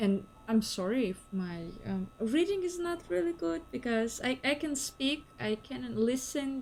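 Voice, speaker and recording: Over music in the background, a woman with a Ukrainian accent speaks in a fairly high voice. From Ukraine. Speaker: game streamer. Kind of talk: casual live-stream commentary.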